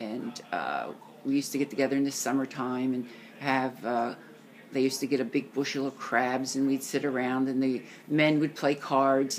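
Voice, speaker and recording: Her pitch is very deep and low. This woman speaks at a moderate pace. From US, Italian-American family. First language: Italian. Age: 70s. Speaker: grandparent interviewed by grandchild. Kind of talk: family interview. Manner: halting.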